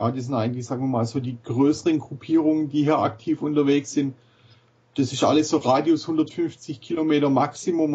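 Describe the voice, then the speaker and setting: Talking with an ordinary speaking voice, a man keeps a moderate pace at a fairly high pitch. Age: 40s. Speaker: cross golf club founder. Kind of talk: casual chat.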